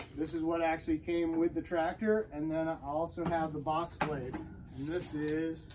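A man speaks in a high voice with flat, monotone intonation at a fairly slow pace, over noticeable background noise. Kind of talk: casual vlog chat. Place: garage. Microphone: camera far.

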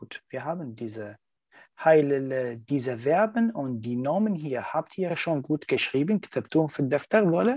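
A man's fairly high-pitched voice with very wide pitch swings at a moderate pace, against a quiet background and a dry, close sound with no echo. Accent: Arabic. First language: Arabic (speaking German). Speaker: German language teacher. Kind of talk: online language lesson.

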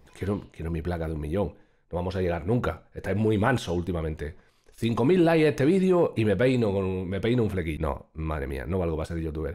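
Over a quiet background, a man talks at a very fast pace in a very deep, low pitch, with lively intonation and a dark, mellow tone. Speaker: streamer. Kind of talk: casual reaction commentary. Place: home room. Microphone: studio mic.

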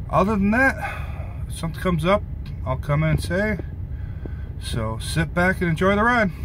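A man is speaking with noticeable background noise behind him. The sound is dry, with no echo. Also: moderate pace. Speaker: truck driver vlogger. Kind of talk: casual vlog chat. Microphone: phone near.

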